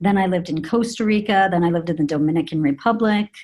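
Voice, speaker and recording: An American accent marks this woman's ordinary speaking voice. Her pitch shows ordinary variation. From US, Colorado. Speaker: PR and marketing executive. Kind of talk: interview conversation. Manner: many filler words.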